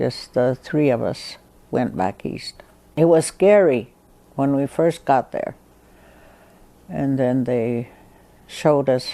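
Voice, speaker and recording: At a very slow pace, a woman speaks with an American accent. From Western Shoshone, Nevada. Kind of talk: oral history interview answer.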